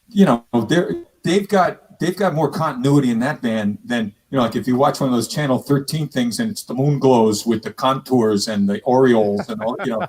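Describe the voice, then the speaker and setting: At a moderate pace, a man speaks at a medium pitch with very wide pitch swings. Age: 70s. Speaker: musician and online show host. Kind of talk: casual chat.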